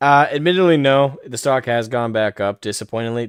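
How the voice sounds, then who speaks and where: Speaking at a moderate pace with an American accent and ordinary pitch variation, the voice comes through a very clean recording with a silent background. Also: man. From Maine, US. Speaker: livestreamer and commentator. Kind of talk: casual livestream chat. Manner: casual, frequent fillers.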